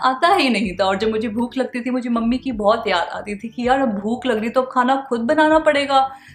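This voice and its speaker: The woman's pitch moves with ordinary variation. Background noise is clearly noticeable. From India (Shimla). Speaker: vlogger. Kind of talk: casual talk to camera.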